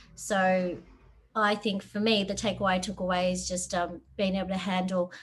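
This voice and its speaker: A woman with an Australian accent talks at a moderate pace and medium pitch. Her voice is somewhat breathy and her intonation monotone and flat. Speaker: software developer. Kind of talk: webinar talk. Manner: hesitant, many fillers.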